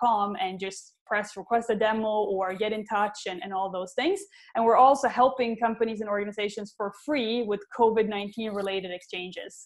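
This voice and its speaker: With a Swedish accent and fairly even intonation, the speaker goes at a fairly quick pace with hardly any pauses over a quiet background. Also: woman. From Sweden. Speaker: tech company CEO. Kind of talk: panel Q&A. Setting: online web conference.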